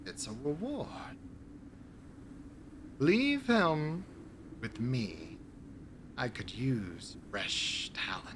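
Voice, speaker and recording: Over clear background noise, a man puts on a character voice with a fairly high pitch, speaking at a very slow pace with long, frequent pauses. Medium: actual play. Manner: genteel, sneering, old-fashioned formal phrasing.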